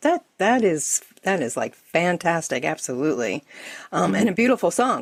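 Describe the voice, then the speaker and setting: A woman's fairly low voice with vocal fry and very wide pitch swings, in a dry, close sound with no echo. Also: moderate pace. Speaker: podcast host. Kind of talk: interview questions.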